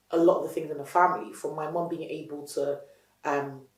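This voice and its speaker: A woman speaks at a fairly quick pace in a very deep, low voice. An audible room echo surrounds her. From Nigeria, Lagos; moved to UK at 12-13. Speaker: entrepreneur, company founder. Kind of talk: interview. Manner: passionate, animated.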